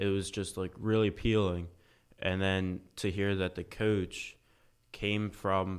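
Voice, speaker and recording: A man with an American accent speaks in a very deep, low voice at a fairly slow pace. His intonation is flat and monotone, and the recording is very clean with a silent background. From Pennsylvania, US. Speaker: college volleyball player. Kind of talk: interview. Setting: studio.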